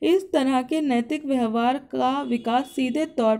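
A dark, mellow tone at a very slow pace, in a very clean recording with a silent background. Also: woman. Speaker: educational YouTuber. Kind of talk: tutorial.

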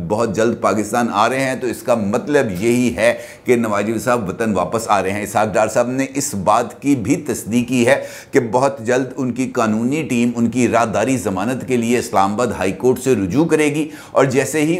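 A man is speaking at a fairly slow pace. His pitch varies in an ordinary way. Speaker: political commentator. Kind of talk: news commentary. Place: studio. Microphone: lapel.

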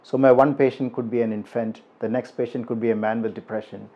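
The man talks at a moderate pace. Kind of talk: interview answer.

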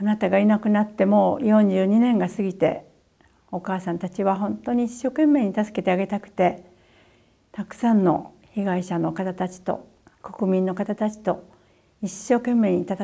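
A woman's dark, mellow voice at a moderate pace with fairly even intonation, against a quiet background. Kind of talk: personal video message. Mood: sorrowful, earnest. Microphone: lapel.

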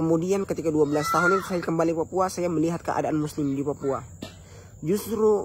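Ordinary pitch variation in a dry sound with no echo, over light background noise. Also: man. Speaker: religious vlogger. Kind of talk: casual religious talk to viewers. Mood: earnest, grateful. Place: garden. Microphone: phone near.

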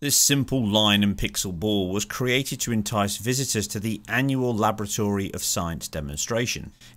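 On a very clean recording with a silent background, a man with a British accent talks at a moderate pace with ordinary pitch variation. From UK. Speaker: gaming video creator. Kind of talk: scripted narration.

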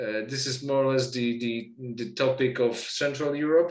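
A man with a Polish accent speaks in a fairly high pitch at a fairly slow pace, his intonation monotone and flat. Audible room echo is present over a quiet background. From Poland. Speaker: literature researcher and lecturer; lecturer. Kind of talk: lecture. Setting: video call. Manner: halting. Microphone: webcam.

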